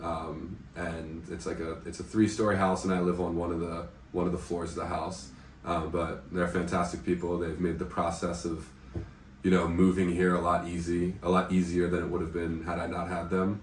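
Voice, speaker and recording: A man's very deep, low, somewhat breathy voice with an American accent, monotone, flat intonation and audible room echo. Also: moderate pace. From United States. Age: 20s. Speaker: English teacher and volunteer. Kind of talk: casual interview. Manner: hesitant, many fillers.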